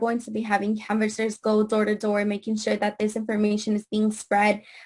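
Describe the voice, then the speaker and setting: With a Spanish accent, a woman speaks at a moderate pace in a fairly high voice. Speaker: immigrant rights activist. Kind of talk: panel discussion. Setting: video call. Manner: halting.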